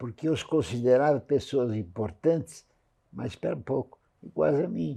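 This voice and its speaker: The man's tone is dark and mellow, and his pitch takes very wide swings. He speaks at a fairly slow pace. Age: 90s. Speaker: real estate industry veteran. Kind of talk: interview.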